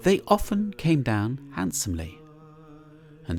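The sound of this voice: A man speaks at a slow pace in a slightly mellow tone. His pitch swings very widely.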